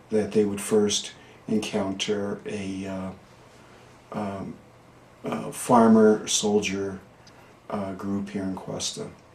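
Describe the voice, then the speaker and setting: Amid noticeable background noise and audible room echo, a man talks very slowly at a fairly low pitch, with monotone, flat intonation and long, frequent pauses. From northern New Mexico (Questa, Taos County). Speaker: local historian. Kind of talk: oral history interview. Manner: halting, many fillers.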